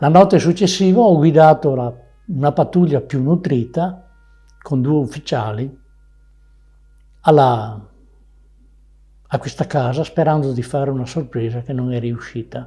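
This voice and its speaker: In a very clean recording with a silent background, a man with fairly high pitch, ordinary pitch variation and a dark, mellow, somewhat breathy tone talks at a fairly slow pace with long, frequent pauses. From Veneto, Italy. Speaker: war veteran. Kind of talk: testimony. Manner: halting.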